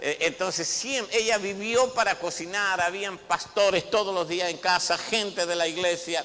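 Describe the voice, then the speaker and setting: In a raised, projected voice, a man speaks at a moderate pace. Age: 60s. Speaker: apostle, pastor. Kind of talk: sermon. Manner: hesitant repetitions.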